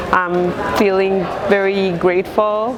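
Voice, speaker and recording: Over noticeable background noise, a woman speaks in a monotone, flat intonation with a non-native accent. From abroad, immigrant. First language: not English. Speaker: outsider artist. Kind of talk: interview testimony. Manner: halting, many fillers.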